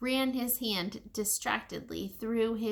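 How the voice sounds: The reading voice sounds natural. It stays that way from start to finish.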